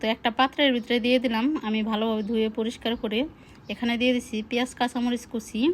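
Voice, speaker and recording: A woman with a fairly high pitch speaks in a monotone, flat intonation. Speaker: cooking vlogger. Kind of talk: cooking tutorial. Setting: home kitchen with clay stove. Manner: casual, chatty.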